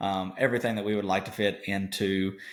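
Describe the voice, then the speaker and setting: In an Arkansas accent, a man speaks at a moderate pace with a fairly low pitch. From Arkansas, east (Brinkley). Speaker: podcast co-host, farm background. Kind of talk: casual podcast chat. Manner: hesitant, many fillers.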